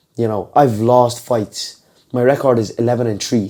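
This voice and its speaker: This man's voice sits at a medium pitch. He speaks at a fairly slow pace. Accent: Dublin. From Ireland, Dublin. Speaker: MMA fighter. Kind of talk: podcast interview.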